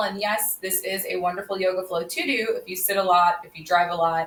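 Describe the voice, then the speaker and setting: A woman is talking. Her voice has a bright, sharp tone. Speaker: yoga instructor. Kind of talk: live online yoga class intro. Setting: livestream on social media from home. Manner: projects voice loudly; casual, chatty with fillers.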